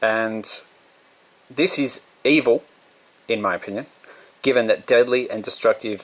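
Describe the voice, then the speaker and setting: The speaker is a man with an Australian accent. He talks at a moderate speed. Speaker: vlogger. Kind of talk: monologue.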